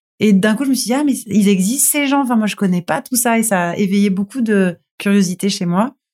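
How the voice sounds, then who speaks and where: Speaking at a fairly quick pace with hardly any pauses, a woman uses a medium pitch and ordinary pitch variation, her voice somewhat breathy and the sound dry and close with no echo. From Toulon, southern France. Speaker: TV screenwriter and showrunner. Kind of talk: casual interview.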